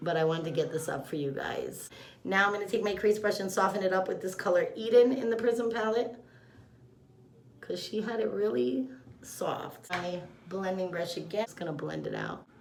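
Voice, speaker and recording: Vocal fry runs through a woman's medium-pitched voice as she speaks with lively intonation in a room with audible echo. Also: moderate pace. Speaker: makeup artist / beauty vlogger. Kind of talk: makeup tutorial. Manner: loud; casual, chatty.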